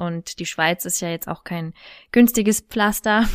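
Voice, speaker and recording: A woman with an unremarkable speaking voice at medium pitch, moderate pace and fairly even intonation, in a very clean recording with a silent background. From Thuringia, Germany. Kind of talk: casual interview.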